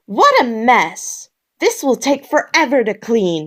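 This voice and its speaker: A woman uses a put-on character voice with a high pitch at a fairly slow pace. The recording is very clean with a silent background, apart from some hissing. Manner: annoyed.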